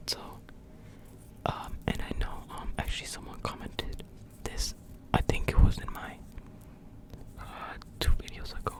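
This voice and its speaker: Whispering at a fairly slow pace amid noticeable background noise. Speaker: ASMR creator. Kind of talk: casual talk to camera. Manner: whispered.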